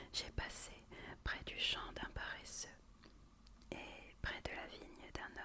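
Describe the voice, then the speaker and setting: A woman is whispering at a very slow pace. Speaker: ASMR content creator. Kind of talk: whispered Bible reading for relaxation. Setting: close to the microphone. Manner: whispered, soft, slow.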